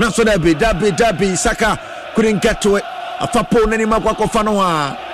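Over noticeable background noise, a man with a high, animated voice speaks at a moderate pace with very wide pitch swings, very even loudness and hardly any pauses. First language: Akan (Twi). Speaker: radio sports commentator. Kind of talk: live commentary. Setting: radio studio.

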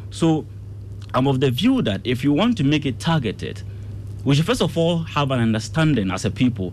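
Somewhat breathy and fairly quick, a man talks with lively intonation. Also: medium pitch for a man. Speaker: political science analyst. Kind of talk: radio panel debate.

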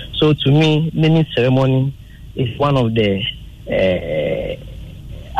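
This is a man speaking. He has a Ghanaian accent. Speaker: caller. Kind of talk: call-in opinion.

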